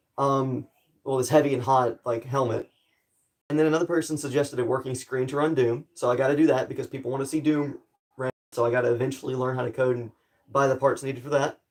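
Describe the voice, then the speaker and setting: A man with an American accent, very fast and monotone, with flat intonation. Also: medium pitch for a man. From US South. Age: 18. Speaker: streamer and cosplay maker. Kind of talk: live stream chat. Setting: live stream, wearing a helmet at times. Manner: casual, rambling with fillers.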